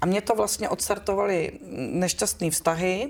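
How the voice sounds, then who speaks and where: At a moderate pace, a woman speaks at a medium pitch with vocal fry. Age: 40s. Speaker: actress. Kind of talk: casual interview. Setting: live stream. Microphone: poorer audio quality.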